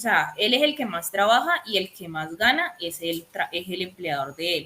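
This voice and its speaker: A woman with a bright, sharp tone talks at a fairly slow pace and a medium pitch. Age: 20s. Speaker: accountant teaching a course. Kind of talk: online lecture. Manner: hesitant, many fillers.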